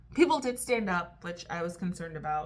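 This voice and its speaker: A woman speaks at a moderate pace, with noticeable background noise and audible room echo. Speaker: vlogger. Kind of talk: casual vlog chat. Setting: hotel room at night. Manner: hesitant, many fillers; lowered voice, quiet.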